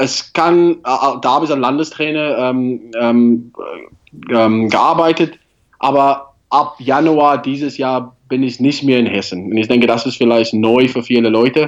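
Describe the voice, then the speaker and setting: A man speaks at a very slow pace with a non-native accent and a medium pitch. His intonation stays fairly even. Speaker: rugby national team coach. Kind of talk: interview. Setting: remote call. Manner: halting.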